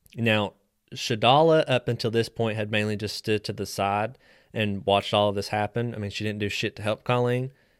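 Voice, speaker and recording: A man with an American accent talks in a normal speaking voice, fairly low in pitch, at a fairly quick pace. His intonation is fairly even, and the recording is very clean with a silent background. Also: dry, close sound with no echo. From West Virginia. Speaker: true crime podcast host. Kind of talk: true crime storytelling.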